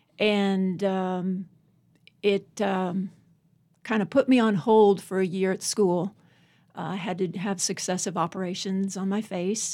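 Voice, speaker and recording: Her voice has a dark, mellow tone at a medium pitch, and this woman with an American accent speaks at a fairly slow pace with fairly even intonation. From Northern Virginia, US. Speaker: poet. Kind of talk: interview about her life and poetry.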